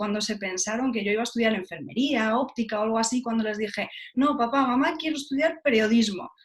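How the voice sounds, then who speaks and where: Using an ordinary speaking voice, a woman talks at a fairly quick pace with fairly high pitch and fairly even intonation. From Spain, Galicia (Lugo). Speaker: journalist, TV presenter. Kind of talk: interview.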